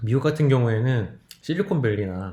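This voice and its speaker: There is audible room echo around this man's dark, mellow, somewhat breathy voice. He speaks at a moderate pace with lively intonation. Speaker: lecturer. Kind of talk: recorded lecture.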